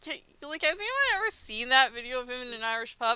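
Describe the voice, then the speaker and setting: The speaker's pitch moves with ordinary variation. Noticeable background noise runs behind the voice. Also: woman. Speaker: guest panelist. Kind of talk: casual chat.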